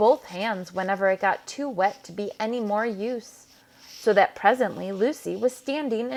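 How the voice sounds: A natural reading voice with ordinary pitch variation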